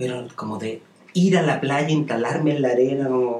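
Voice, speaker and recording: A man's fairly high-pitched voice with a dark, mellow tone at a fairly slow pace. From Chile, Santiago. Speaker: fashion designer and tailoring teacher. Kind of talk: casual interview. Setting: studio.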